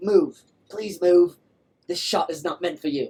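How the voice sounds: A female-sounding voice puts on a character voice. It moves at a moderate pace and sits fairly low in pitch for a woman.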